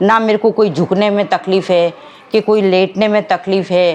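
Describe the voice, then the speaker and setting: Through noticeable background noise, a woman at a medium pitch speaks at a moderate pace with ordinary pitch variation. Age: 60s. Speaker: patient. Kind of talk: testimony.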